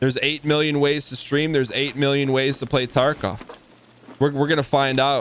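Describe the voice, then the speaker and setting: A man speaks in a fairly high voice with flat, monotone intonation. Noticeable background noise runs underneath. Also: moderate pace. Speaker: video game streamer. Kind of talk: live gameplay stream chat. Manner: occasional stutter; casual, repetitive restarts.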